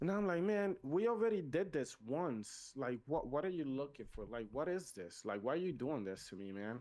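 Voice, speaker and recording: A man with a Spanish accent speaks at a moderate pace, with hardly any pauses. His pitch is fairly high and swings very widely. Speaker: podcast host. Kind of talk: casual chat. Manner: animated.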